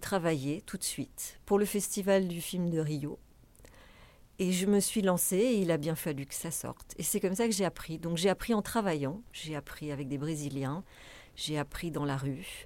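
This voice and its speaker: A woman's fairly low voice at a fairly slow pace, with ordinary pitch variation, in a very clean recording with a silent background. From France. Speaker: festival director. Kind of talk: interview.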